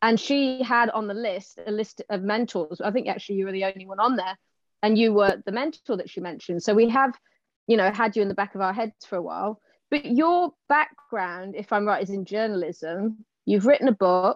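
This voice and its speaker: With an ordinary speaking voice, a woman talks at a fairly quick pace, her medium pitch showing ordinary pitch variation. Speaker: podcast co-host. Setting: video call.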